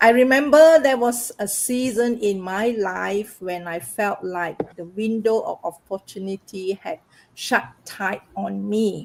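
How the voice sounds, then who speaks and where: Very slowly, a woman talks at a medium pitch, her pitch varying in an ordinary way. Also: big swings in loudness. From Malaysia. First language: not English. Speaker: massage therapist and online business owner. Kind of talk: personal testimony in live panel. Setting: livestream.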